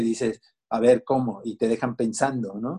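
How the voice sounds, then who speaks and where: A dark, mellow tone with a Mexican accent, at a moderate pace. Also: man. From Mexico, Veracruz. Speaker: musician and children's author. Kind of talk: interview. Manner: halting, many repetitions and fillers.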